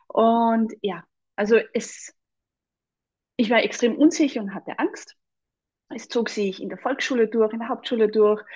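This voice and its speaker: In a Salzburg accent, a woman speaks at a fairly slow pace and fairly high pitch with ordinary pitch variation, big swings in loudness and long, frequent pauses, over a quiet background. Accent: Austrian (Salzburg) German. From Austria, Salzburg. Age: 40s. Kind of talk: casual interview chat.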